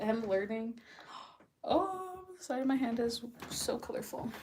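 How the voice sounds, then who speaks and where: Against noticeable background noise, a woman speaks at a high pitch and a fairly slow pace, her intonation lively. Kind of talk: casual chat.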